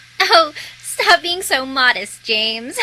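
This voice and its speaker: The voice sounds female, a put-on character voice with a high pitch and a fairly slow pace. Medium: fan dub.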